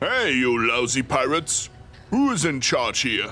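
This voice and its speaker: A man puts on a character voice while clear background noise plays. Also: moderate pace. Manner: shouting at pirates.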